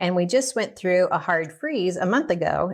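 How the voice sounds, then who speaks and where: A Southern US accent comes through. The background is silent and the recording very clean. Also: woman. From US South. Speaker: nutritionist and cooking teacher. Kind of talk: cooking tutorial. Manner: casual, conversational.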